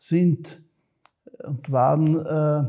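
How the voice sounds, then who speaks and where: A man speaks at a fairly high pitch in a dark, mellow tone. His intonation is monotone and flat. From Austria, Graz (Styria). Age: 70s. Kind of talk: interview. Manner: halting, with repetitions and fillers.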